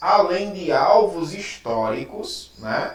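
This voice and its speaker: A man's voice moves in very wide pitch swings, with audible room echo and noticeable background noise. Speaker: Bible teacher. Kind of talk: lecture.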